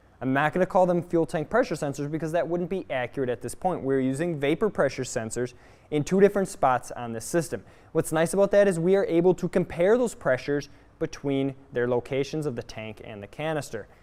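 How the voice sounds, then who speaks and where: A loud man's fairly high voice at a fairly quick pace, with lively intonation. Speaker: automotive technical trainer. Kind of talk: live training class. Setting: garage workshop. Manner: animated.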